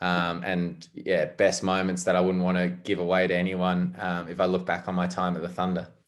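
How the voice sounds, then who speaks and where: A man speaks at a moderate pace with a very deep, low pitch and monotone, flat intonation. The recording is very clean, with a silent background. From South Africa, Durban. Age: 20s. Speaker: professional cricketer. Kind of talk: interview.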